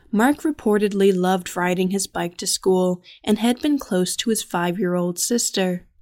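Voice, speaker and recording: Here is a woman with an unremarkable speaking voice. She talks at a fairly slow pace with ordinary pitch variation. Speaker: podcast narrator. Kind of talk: true-crime style narration, scripted and grave. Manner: measured, somber, even-paced; formal, detached, reportorial.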